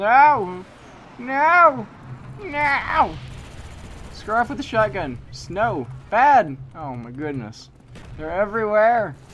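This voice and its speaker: Very slow delivery broken by long, frequent pauses. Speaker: gamer. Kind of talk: live game commentary. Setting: gaming session commentary. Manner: loud, frantic, exasperated, shouting and pleading in mock despair; animated, with outbursts of rage and yelling at opponents.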